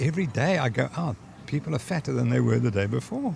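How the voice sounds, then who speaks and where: Very wide pitch swings come through alongside vocal fry. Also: man. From South Africa. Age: 70s. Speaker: sports scientist. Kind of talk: interview.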